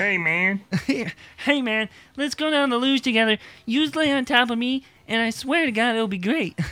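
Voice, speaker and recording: This is a put-on character voice at a fairly high pitch. It moves at a moderate pace with long, frequent pauses. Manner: silly, exaggerated.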